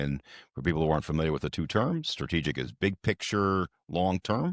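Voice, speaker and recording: A man talks at a fairly quick pace in a very deep, low voice with vocal fry and ordinary pitch variation. The recording is very clean, with a silent background and a dry, close sound with no echo. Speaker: real estate economist. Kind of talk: podcast interview. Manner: calm, matter of fact.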